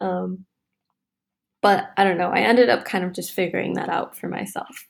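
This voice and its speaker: Moderately paced speech from a woman with an American accent. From US Midwest, Wisconsin. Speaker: mechanical engineer. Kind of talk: casual interview.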